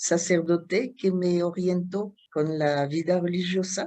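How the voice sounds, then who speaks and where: A woman's very slow, fairly low-pitched speech in a French accent, dark and mellow in tone, with fairly even intonation. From France, Chartres. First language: French (speaking Spanish). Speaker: Dominican nun and artist. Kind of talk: interview. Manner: hesitant, many fillers.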